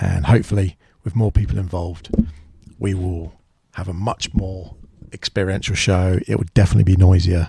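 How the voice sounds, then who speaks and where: Breaking his fairly quick speech with long, frequent pauses, a man with a very deep, low voice, a dark, mellow tone and a somewhat breathy quality uses ordinary pitch variation, recorded with a dry, close sound and no echo. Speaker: podcast host. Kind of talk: solo podcast monologue. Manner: halting.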